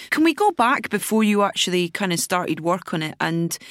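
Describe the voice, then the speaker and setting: The speaker has a Scottish accent. The pace is moderate. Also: woman. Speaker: podcast host. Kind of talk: interview.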